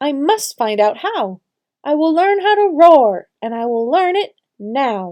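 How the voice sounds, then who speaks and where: Using a squeaky, put-on character voice, a woman speaks high and fairly slowly with very wide pitch swings. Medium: read story. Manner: shy, hesitant.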